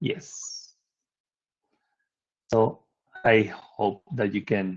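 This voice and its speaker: A man speaks with a Spanish accent and a fairly low pitch. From Spain. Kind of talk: conference presentation. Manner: halting with repetitions.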